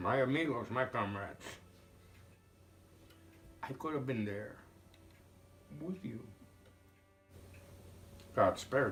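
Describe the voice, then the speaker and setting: Over background music, a man with a medium pitch speaks fairly slowly with lively intonation, big swings in loudness, and long, frequent pauses. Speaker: war veteran. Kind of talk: interview answer.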